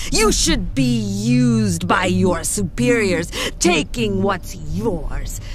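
A woman puts on a character voice with a menacing tone. She speaks very slowly over clear background noise. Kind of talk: dramatic fantasy audio roleplay. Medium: audio drama. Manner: haughty, menacing, contemptuous.

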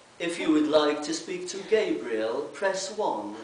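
Very slow and lively in intonation, a man speaks at a high pitch amid audible room echo and light background noise. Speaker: speaker. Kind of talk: reading a humorous piece to a congregation. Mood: light, humorous. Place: church. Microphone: camera far.

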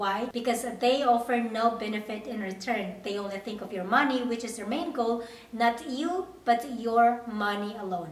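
A woman talks at a moderate pace with hardly any pauses, ordinary pitch variation and big swings in loudness, with audible room echo. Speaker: au pair vlogger. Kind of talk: casual vlog chat. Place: home room.

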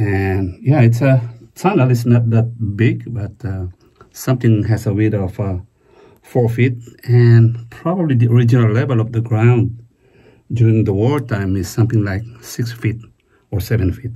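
In a quiet background, a man speaks at a moderate pace in a somewhat breathy voice with ordinary pitch variation. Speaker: history explorer vlogger. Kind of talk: casual vlog commentary. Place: forest. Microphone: phone near.

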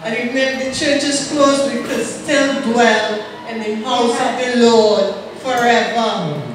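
Against strong room echo and light background noise, a woman speaks with fairly even intonation. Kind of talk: scripture reading and exhortation. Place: church.

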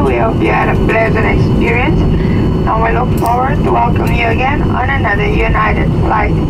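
A man speaking at a moderate pace amid loud background noise. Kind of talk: scripted cabin announcement. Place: plane.

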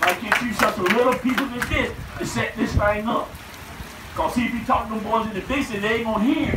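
Loud background noise fills the clip. Over it, a man talks at a very fast pace. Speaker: preacher. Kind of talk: revival sermon. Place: tent.

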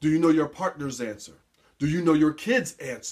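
A man's fairly quick delivery carries lively intonation, with a quiet background behind him. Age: 40s. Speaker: motivational speaker and life coach. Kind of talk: motivational talk to camera. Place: office. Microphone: webcam.

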